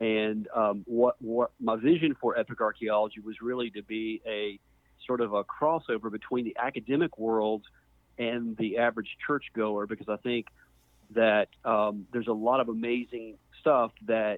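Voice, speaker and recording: A man with an American accent uses a normal speaking voice at medium pitch. He keeps a moderate pace and fairly even intonation. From US South, Mississippi. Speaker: archaeologist. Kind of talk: interview.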